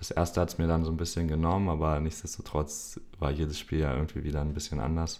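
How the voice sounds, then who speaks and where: A man with a very deep, low pitch and monotone, flat intonation, talking at a very fast pace. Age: 20s. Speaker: football referee. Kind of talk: interview.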